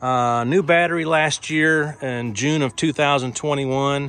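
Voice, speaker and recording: A man's bright, sharp voice at a fairly high pitch, with a dry sound and no echo. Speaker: auctioneer. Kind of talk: sales pitch video walkaround. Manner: brisk, run-on auctioneer patter; upbeat, salesy. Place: street. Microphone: phone near.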